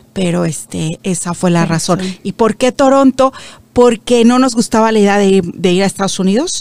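Medium-pitched woman's voice at a moderate pace with ordinary pitch variation, dry and close with no echo. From Mexico. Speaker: media founder. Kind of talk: interview.

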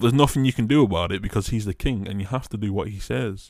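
On a very clean recording with a silent background, a man with a normal speaking voice talks in a fairly low pitch with ordinary pitch variation. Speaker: podcast host. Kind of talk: true-crime narration. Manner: measured, ominous storytelling delivery.

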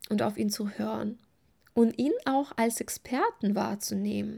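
A woman with a warm tone speaks at a fairly slow pace. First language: not German (speaking German). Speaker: eating and body-image coach, podcast host. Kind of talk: solo podcast monologue. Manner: warm, personal.

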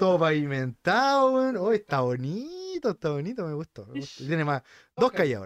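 In a Chilean accent, a man speaks at a high pitch with very wide pitch swings, the sound dry and close with no echo. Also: moderate pace. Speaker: podcast co-host. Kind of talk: casual chat.

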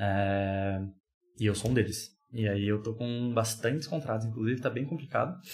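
A man's somewhat breathy voice sits at a medium pitch, with ordinary pitch variation. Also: moderate pace. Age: 20s. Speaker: podcast guest. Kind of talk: casual chat.

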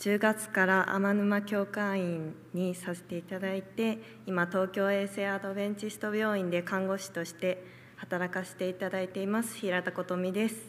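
A woman talks at a moderate pace with a medium pitch. Her intonation is monotone and flat. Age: young. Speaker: church member giving testimony. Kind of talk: testimony.

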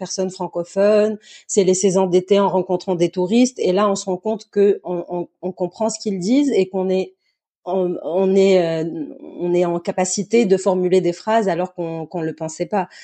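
With a slight Tunisian accent, a woman talks at medium pitch with fairly even intonation. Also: moderate pace. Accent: slight Tunisian accent kept in French. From southern Tunisia, Zarzis. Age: young. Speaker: actress and dancer. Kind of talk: interview. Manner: halting, repeats words.

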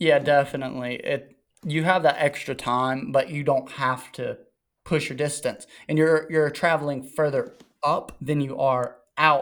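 Using a normal speaking voice, a man talks at a fairly slow pace, fairly high in pitch with ordinary pitch variation. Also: very clean recording, silent background. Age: 20s. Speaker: motocross and 110 rider. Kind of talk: casual chat.

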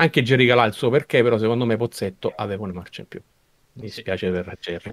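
This man speaks at a very fast pace, with big swings in loudness. The sound is dry and close, with no echo. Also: medium pitch for a man, ordinary pitch variation. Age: 50s. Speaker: podcast co-host, film fan. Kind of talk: casual chat.

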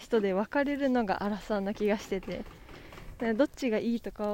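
Pitch varies in an ordinary way. The pace stays moderate. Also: woman. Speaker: podcaster. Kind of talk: casual solo monologue. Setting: outdoors on a walk.

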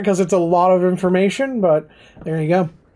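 A man talks at a moderate speed with noticeable noise in the background. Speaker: podcast host.

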